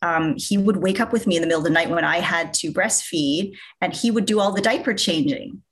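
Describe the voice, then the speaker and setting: A woman speaks with a normal speaking voice at medium pitch. Her intonation is lively. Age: 30s. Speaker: social media influencer. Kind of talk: interview.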